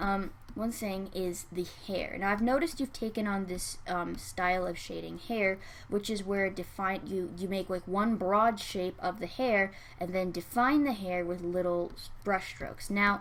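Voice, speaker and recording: Soft-spoken delivery at a fairly slow pace with ordinary pitch variation. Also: woman, medium pitch for a woman. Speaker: digital artist and art critic. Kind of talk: art critique tutorial narration. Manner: soft-spoken, quiet.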